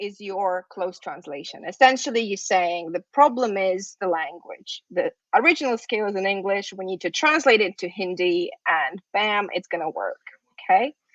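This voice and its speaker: A woman with a Russian accent speaks at a medium pitch and a moderate pace with lively intonation. The sound is dry and close, with no echo. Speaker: university lecturer in psychology. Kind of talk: lecture.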